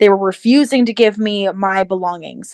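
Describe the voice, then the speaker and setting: In a very clean recording with a silent background, a woman with an unremarkable speaking voice and medium pitch sounds dry and close, with no echo. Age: 20s. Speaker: alienation survivor sharing life story. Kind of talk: interview testimony.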